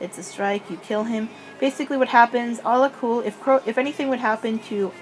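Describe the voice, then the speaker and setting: Mumbling, a woman speaks at a fairly high pitch and a moderate pace. Her pitch varies in an ordinary way, with noticeable background noise behind her. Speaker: gaming lore youtuber. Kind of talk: casual commentary, unscripted. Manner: halting.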